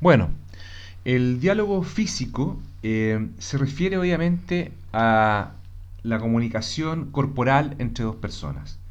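A man speaks at a very slow pace with very wide pitch swings, and audible room echo surrounds his voice. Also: medium pitch for a man. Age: 40s. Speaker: commercial engineer, host's husband. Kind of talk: casual conversation.

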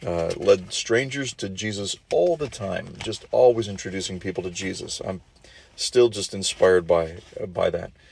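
A man with an American accent and a plain, everyday voice talks at a moderate pace with a fairly low pitch and big swings in loudness. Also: ordinary pitch variation. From southwest Minnesota. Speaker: preacher. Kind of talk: sermon.

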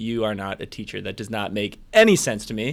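An American-accented man at a moderate pace, his pitch swinging very widely, on a very clean recording with a silent background. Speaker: traveler and English teacher. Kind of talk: casual interview.

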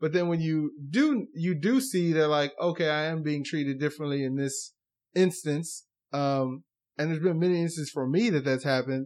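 Against a quiet background, a man with an American accent speaks at a moderate pace in an unremarkable speaking voice, fairly high in pitch, with ordinary pitch variation. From United States. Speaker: dentist. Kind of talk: casual chat.

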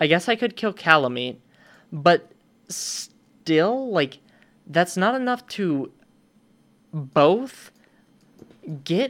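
Words come out very slowly. The background is silent and the recording very clean. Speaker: podcast host. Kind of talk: casual chat about a video game. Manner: casual, profane, laid-back.

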